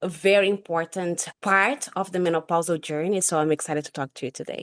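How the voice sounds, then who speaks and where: A woman with a Brazilian accent speaks at a fairly quick pace, her pitch fairly low with ordinary variation. The sound is dry and close with no echo, over a quiet background. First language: Portuguese. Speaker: sleep scientist and nurse. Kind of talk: podcast interview.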